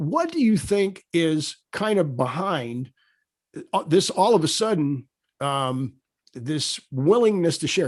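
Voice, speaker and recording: Against a quiet background, a man with an ordinary speaking voice talks at a fairly high pitch with lively intonation. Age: 60s. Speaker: podcast host, former football coach. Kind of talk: casual interview chat.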